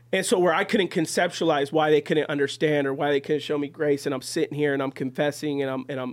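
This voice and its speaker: This man has a plain, everyday voice, pitched fairly high, with fairly even intonation. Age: 30s. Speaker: podcast host and church member. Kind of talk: casual chat. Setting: studio.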